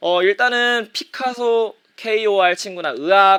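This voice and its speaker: A man speaks at a high pitch with a bright, sharp tone. His intonation is lively. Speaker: middle school teacher. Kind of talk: online lecture. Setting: live-streamed class broadcast.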